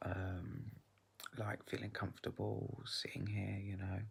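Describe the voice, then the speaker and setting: Somewhat breathy and soft-spoken, this woman has a very deep, low pitch and fairly even intonation. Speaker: vlogger. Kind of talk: casual vlog monologue. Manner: quiet, soft-spoken; halting, many fillers.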